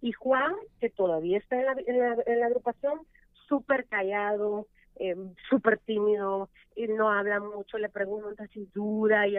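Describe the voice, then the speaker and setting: This woman has a normal speaking voice, fairly high in pitch. Her intonation is fairly even and her pace fairly slow. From El Salvador. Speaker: radio host. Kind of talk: casual chat.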